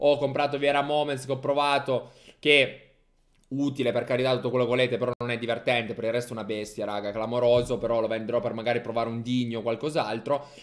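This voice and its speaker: Over a quiet background, a man talks at a very fast pace in an animated tone, his pitch medium. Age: 20s. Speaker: gaming streamer / youtuber; gaming streamer, youtuber. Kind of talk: casual gaming commentary. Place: home room. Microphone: studio mic.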